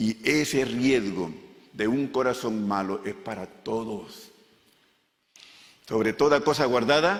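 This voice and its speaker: Music sits in the background as a man of medium pitch speaks very slowly, with lively intonation and long, frequent pauses. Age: 70s. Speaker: pastor. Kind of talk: sermon.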